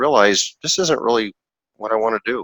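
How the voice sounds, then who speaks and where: A man talks fairly quickly with a medium pitch, a bright, sharp tone and lively intonation. The sound is dry and close, with no echo. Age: 60s. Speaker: investor, former orthodontist. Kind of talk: podcast interview. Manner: halting, with repeated words.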